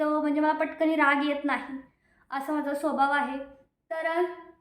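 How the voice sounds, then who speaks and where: Audible room echo follows a woman speaking at a high pitch. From Maharashtra, Satara district (Maan taluka). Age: 20s. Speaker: lifestyle vlogger. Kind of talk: casual Q&A vlog.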